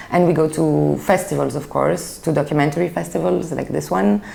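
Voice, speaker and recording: A French accent over noticeable background noise. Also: woman. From Belgium (Brussels), Greek family. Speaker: film critic. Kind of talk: interview.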